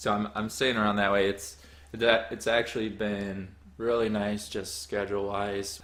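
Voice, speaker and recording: A man speaks with an American accent in a fairly low pitch. His intonation is monotone and flat. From Wisconsin, US Midwest. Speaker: soccer coach, podcast co-host. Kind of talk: casual chat.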